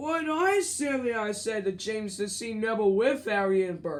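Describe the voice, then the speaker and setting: Fairly high pitch and a moderate pace in a put-on character voice. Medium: read story.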